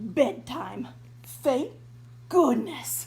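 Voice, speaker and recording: Over clear background noise, a woman performs a put-on character voice. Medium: read story. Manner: flustered, grumbling.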